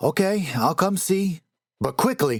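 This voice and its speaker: In a put-on character voice, a man speaks at a high pitch and a fairly slow pace, with a dry, close sound with no echo. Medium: read story.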